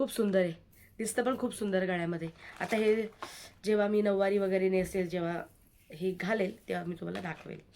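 A woman speaks in a dark, mellow tone, keeping her intonation fairly even. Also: medium pitch for a woman. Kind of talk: product showcase vlog. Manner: casual, chatty.

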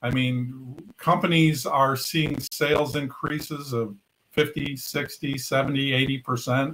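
Here a man is speaking. His intonation stays fairly even. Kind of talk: interview answer. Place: home room.

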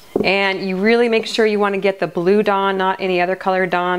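Over faint background noise, a woman talks at a fast pace with fairly even intonation.

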